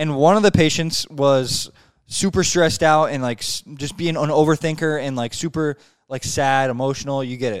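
This very clean recording with a silent background has a man speaking at a fairly high pitch with ordinary pitch variation. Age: 20s. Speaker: podcast host. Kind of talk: casual chat. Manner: fast talker.

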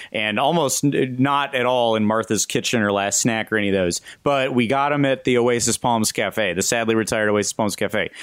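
With an American accent, a man speaks in an ordinary speaking voice at a medium pitch, with ordinary pitch variation and very even loudness, on a very clean recording with a silent background. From Southern California. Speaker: podcast host. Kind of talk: casual chat.

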